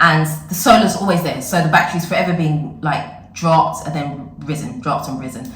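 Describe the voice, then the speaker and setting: A woman's fairly low, fairly even voice in audible room echo, with noticeable background noise. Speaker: vlogger. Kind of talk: casual vlog talk.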